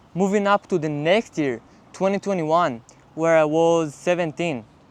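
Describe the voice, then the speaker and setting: In an Israeli accent, a man speaks at a high pitch and a moderate pace with ordinary pitch variation. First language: Hebrew. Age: 20s. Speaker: college athlete and vlogger. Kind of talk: casual vlog monologue.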